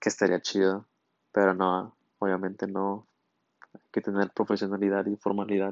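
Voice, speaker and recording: A man's fairly low voice at a moderate pace, flat and monotone, with long, frequent pauses and big swings in loudness. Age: 20s. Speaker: podcast host, engineering student. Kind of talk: casual solo monologue. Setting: solo recording at night.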